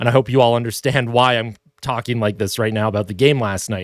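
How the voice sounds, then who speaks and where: A man speaks on a very clean recording with a silent background, his voice dry and close with no echo. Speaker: hockey commentator. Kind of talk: video commentary rant. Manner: animated, passionate.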